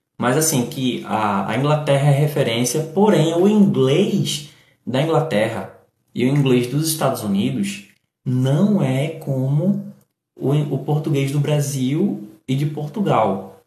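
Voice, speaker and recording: The voice is somewhat breathy and dark and mellow in tone, moving at a very slow pace with lively intonation. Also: man, fairly high pitch for a man. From Brazil, Recife, Pernambuco (Northeast). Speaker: English teacher and live streamer. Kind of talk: live stream English lesson with chat. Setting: live stream on TikTok. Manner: animated.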